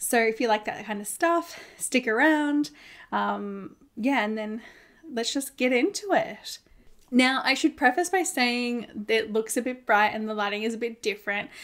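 With an Australian accent, a woman speaks at a moderate pace in a fairly high, fairly bright voice, her pitch varying in an ordinary way.

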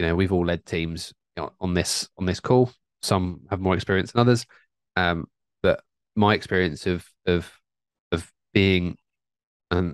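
A man's very deep, low voice with ordinary pitch variation at a moderate pace, dry with no echo, over a quiet background. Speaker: podcast co-host. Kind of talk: podcast discussion answer. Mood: thoughtful, calm. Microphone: studio mic.

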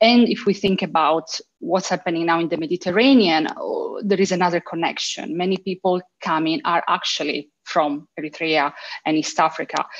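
Speaking at a moderate pace in an Italian accent, a woman with a fairly low pitch shows ordinary pitch variation over a quiet background. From Italy. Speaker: university lecturer. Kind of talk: panel discussion. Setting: video call. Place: home room. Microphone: video call.

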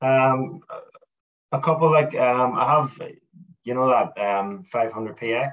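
A man with a Northern Irish accent, very slow, with long, frequent pauses, against a quiet background. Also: ordinary pitch variation. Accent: Northern Irish (Belfast). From Northern Ireland, Belfast. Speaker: landscape photographer; guest. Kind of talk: casual interview chat. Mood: relaxed, enthusiastic. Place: home room. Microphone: video call.

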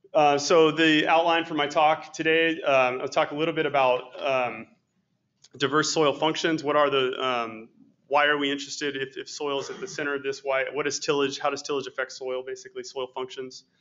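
A fairly high-pitched male voice with monotone, flat intonation. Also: fairly quick pace. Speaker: soil scientist. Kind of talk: lecture. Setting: stage with audience.

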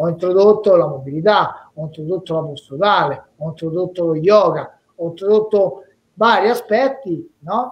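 The man's high voice, moving at a moderate pace, shows ordinary pitch variation. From Rome, Italy; Italy. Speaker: former professional boxer; interviewee. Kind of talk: casual interview via live stream. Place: home room. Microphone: video call.

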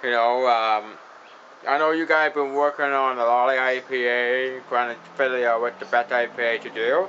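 A man at a medium pitch and moderate pace, with noticeable background noise. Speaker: beer reviewer. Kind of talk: casual beer review to camera. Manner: enthusiastic.

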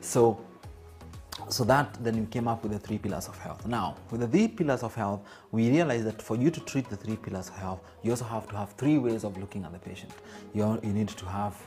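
A man talks at a moderate pace with ordinary pitch variation. His loudness swings widely, and faint music plays behind him. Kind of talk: interview answer. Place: office.

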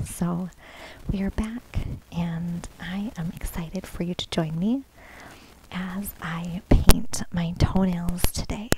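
A woman's fairly low voice at a very slow pace, with fairly even intonation and long, frequent pauses, dry with no echo, over noticeable background noise. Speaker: ASMR content creator. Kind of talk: ASMR nail painting tutorial, casual talk to camera. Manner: friendly, casual, conversational. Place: home room. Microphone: phone near.

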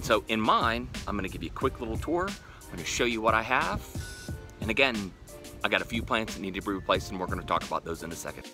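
A man talks at a very fast pace with big swings in loudness, dry sound with no echo, and clear music playing in the background. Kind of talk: casual vlog chat. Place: garden. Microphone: phone near.

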